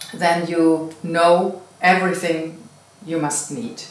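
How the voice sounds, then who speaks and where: The speaker has a non-native accent. Noticeable background noise runs through the clip. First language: not English. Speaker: meditation channel host. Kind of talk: casual interview. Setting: cottage B&B in the Netherlands.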